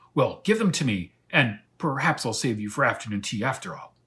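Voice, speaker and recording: Someone performs a put-on character voice. The delivery is loud. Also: man, medium pitch for a man, moderate pace, very clean recording, silent background. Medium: read story. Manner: loud, blustering.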